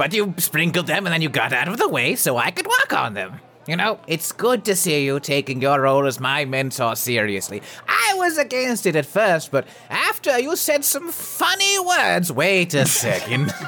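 Using a put-on character voice pitched high for a man, he speaks at a moderate pace with hardly any pauses over clear background noise. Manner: exasperated, chatty.

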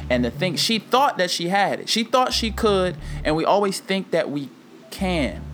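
Over noticeable background noise, a high-pitched man talks at a moderate pace with lively intonation. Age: 20s. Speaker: podcast host. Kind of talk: solo monologue.

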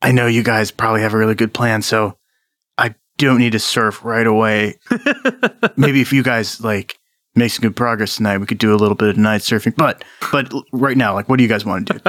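Putting on a raspy character voice, a man talks at a medium pitch and a fairly quick pace, with monotone, flat intonation and long, frequent pauses. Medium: actual play. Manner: mellow surfer-dude talk.

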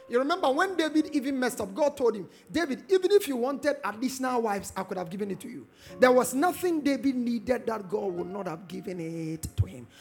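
A man talks at a very fast pace with an extremely high pitch, very wide pitch swings and big swings in loudness. His tone is animated, and music plays in the background. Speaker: preacher. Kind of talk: sermon. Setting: church conference with live congregation. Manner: animated, urgent call-and-response preaching that builds to a shout; rousing, repeating phrases and prompting the crowd to answer with amen.

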